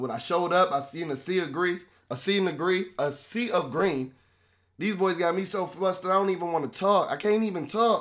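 A man speaks in a high voice with an animated tone. His pitch varies in an ordinary way. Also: fairly quick pace. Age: 20s. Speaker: sports podcast host. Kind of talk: rant.

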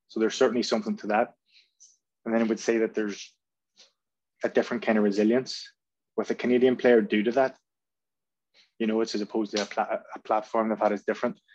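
Monotone and flat, a man of medium pitch speaks at a very fast pace broken by long, frequent pauses. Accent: Belfast. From Northern Ireland, North Belfast. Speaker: football coach. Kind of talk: podcast interview. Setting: video call.

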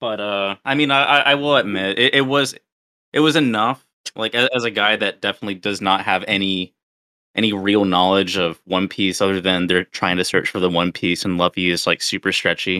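A man with an ordinary speaking voice and a fairly low pitch speaks at a fairly quick pace with ordinary pitch variation. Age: 30s. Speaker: podcast co-host. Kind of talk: casual chat.

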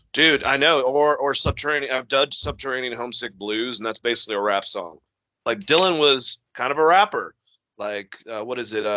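Lively intonation over a man's unremarkable speaking voice, pitched in the medium range. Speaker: podcast host. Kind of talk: casual chat. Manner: casual, joking.

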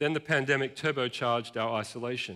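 Speaking with an Australian accent, this man shows ordinary variation in his pitch. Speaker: pastor. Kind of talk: sermon. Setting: church.

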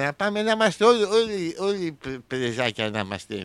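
A man talks at a fairly slow pace. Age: 40s. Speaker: radio host. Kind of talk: comedic monologue. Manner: animated.

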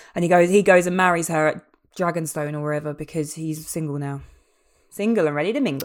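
A woman's fairly low-pitched voice at a very fast pace, with fairly even intonation. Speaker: podcast co-host. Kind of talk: casual chat.

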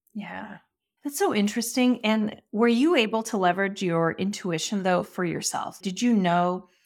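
At a fairly slow pace, a woman speaks with ordinary pitch variation on a very clean recording with a silent background. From immigrated as a child, grew up in the United States. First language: not English. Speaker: podcast host. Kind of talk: interview.

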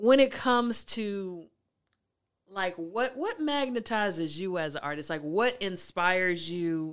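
On a very clean recording with a silent background, a woman with a fairly low voice speaks with lively intonation. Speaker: podcast host and life coach. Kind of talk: casual interview chat; sales pitch. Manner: subtle, understated delivery.

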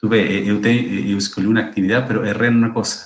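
Amid audible room echo, a man with vocal fry talks very fast at a fairly low pitch with ordinary pitch variation. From Chile. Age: 50s. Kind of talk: interview. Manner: halting, repeats words.

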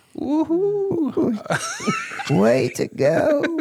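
In a put-on character voice, the speaker pitches high.

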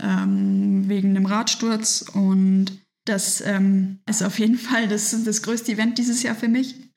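A woman at a medium pitch speaks very slowly in a somewhat breathy voice with monotone, flat intonation. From Germany, Nuremberg (Franconia). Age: 20s. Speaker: professional triathlete. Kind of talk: interview, casual conversation. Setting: in person at her home.

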